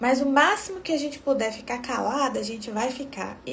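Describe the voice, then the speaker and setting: In a Brazilian accent, a soft-spoken woman with a high-pitched voice talks at a moderate pace, with audible room echo and noticeable background noise. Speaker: obstetrician. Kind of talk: live stream talk.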